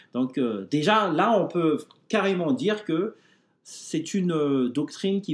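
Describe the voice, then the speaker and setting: With lively intonation, a man speaks. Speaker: blog administrator, Bible podcast co-host. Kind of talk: explanatory discussion. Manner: halting, many hesitations.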